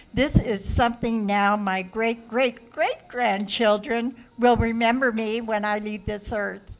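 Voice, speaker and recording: Amid noticeable background noise, a woman speaks at a fairly slow pace with a fairly high pitch, fairly even intonation and hardly any pauses. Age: 70s. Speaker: TV show host and producer. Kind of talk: casual interview. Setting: restaurant.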